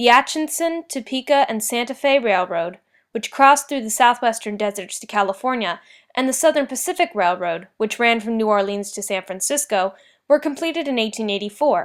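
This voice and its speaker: This very clean recording with a silent background carries a normal speaking voice that moves at a fairly quick pace with lively intonation. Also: woman, fairly high pitch for a woman. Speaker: student. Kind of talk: school history report narration.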